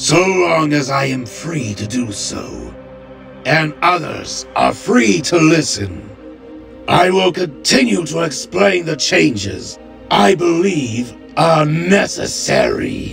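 Over clear music in the background, someone performs a put-on character voice at a very slow pace. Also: man, medium pitch for a man. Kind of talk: grave formal speech. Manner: cold, curt, defiant.

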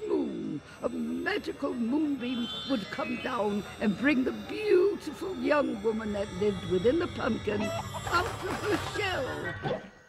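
Music plays behind the speaker. She, a woman, goes at a very slow pace. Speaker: voice actor. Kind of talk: cartoon narration. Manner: playful, chatty storyteller.

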